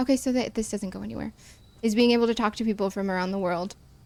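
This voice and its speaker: Speaking in a Midwestern American accent, a woman keeps her intonation fairly even. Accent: plain Midwestern American, nearly accent-free. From US Midwest. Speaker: game streamer. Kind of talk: casual gameplay commentary. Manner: chatty, self-interrupting.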